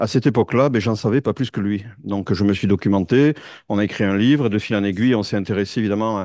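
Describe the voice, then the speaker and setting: A dark, mellow tone at a very fast pace, with ordinary pitch variation and a quiet background. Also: man, fairly low pitch for a man. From France. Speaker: tech executive and conference speaker. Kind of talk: conference talk. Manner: halting, many fillers.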